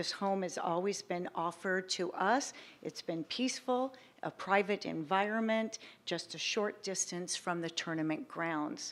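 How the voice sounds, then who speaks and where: Recorded very cleanly over a silent background, a woman with a shaky voice speaks at medium pitch and a fairly slow pace, with ordinary pitch variation. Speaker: public commenter, tennis player services director. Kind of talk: public comment at council meeting. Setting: city council meeting, public hall. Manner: hesitant.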